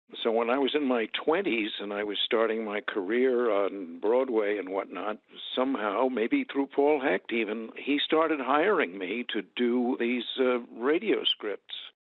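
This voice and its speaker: With hardly any pauses, a man uses a normal speaking voice at a medium pitch, ordinary pitch variation and a fairly slow pace. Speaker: actor. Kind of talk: interview answer.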